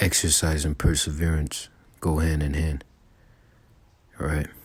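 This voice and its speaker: The voice is quiet and somewhat breathy. It moves at a fairly slow pace with monotone, flat intonation. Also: man, very deep, low pitch for a man. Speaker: religious teacher. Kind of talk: religious lesson. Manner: quiet, low volume; halting.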